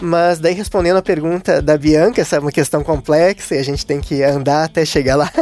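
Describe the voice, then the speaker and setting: With a southern Brazilian accent, a man talks at a fairly quick pace with a fairly high pitch and hardly any pauses over noticeable background noise. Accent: gaúcho Brazilian Portuguese. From Southern Brazil (Rio Grande do Sul). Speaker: invited guest discussing the Bible. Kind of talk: religious discussion. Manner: halting, repeats small words.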